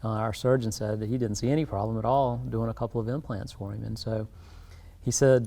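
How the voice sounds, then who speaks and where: A man with a South Carolina accent talks at a very fast pace. His medium-pitched voice has a dark, mellow tone. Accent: US Southern (South Carolina). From South Carolina Lowcountry. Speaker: dentist. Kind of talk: interview.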